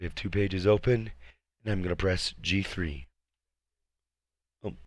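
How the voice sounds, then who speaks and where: Here a man talks in a very deep, low voice. His pace is moderate, with ordinary pitch variation. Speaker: Twitch streamer. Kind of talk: screen-recorded software tutorial. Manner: casual, conversational.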